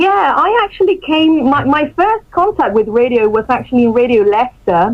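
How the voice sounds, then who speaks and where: With a British accent, a woman speaks at a moderate pace in a high pitch, her pitch swinging very widely while her loudness stays very even. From Mexico, partly raised in English Midlands. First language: Spanish. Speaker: radio presenter and English teacher. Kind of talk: radio interview.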